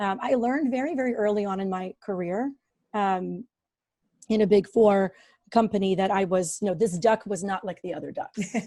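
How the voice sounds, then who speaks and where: A woman talks at a moderate pace and medium pitch, with ordinary pitch variation and a dark, mellow tone. The recording is very clean with a silent background. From Ukraine. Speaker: business operations professional. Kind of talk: interview conversation. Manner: hesitant, many fillers.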